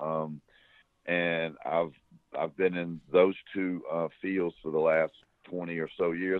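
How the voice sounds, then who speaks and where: This man speaks with an American accent. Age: 60s. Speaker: former smuggler. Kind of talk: interview. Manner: halting.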